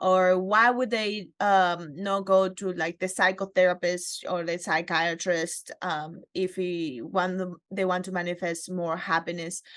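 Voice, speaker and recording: A woman speaks at a medium pitch and a fairly slow pace, with hardly any pauses. Her intonation is fairly even against a quiet background. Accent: Spanish. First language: Spanish. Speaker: interviewer. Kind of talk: interview.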